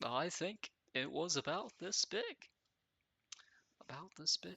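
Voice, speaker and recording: The speech moves at a fairly slow pace. It is quiet. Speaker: gaming video creator. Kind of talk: casual gameplay commentary. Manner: halting. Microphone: mic too far from mouth.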